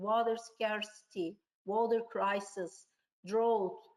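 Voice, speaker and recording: In a Turkish accent, a woman speaks at a fairly high pitch. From Turkey. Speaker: tourism researcher. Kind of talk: webinar presentation. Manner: halting.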